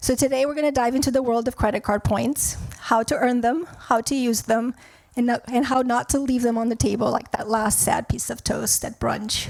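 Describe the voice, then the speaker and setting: A woman with a non-native accent talks at a moderate pace in a high pitch. Her intonation is fairly even, and there is noticeable background noise. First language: not English. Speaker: wealth advisor, panel moderator. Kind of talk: moderated panel conversation. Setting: stage with audience.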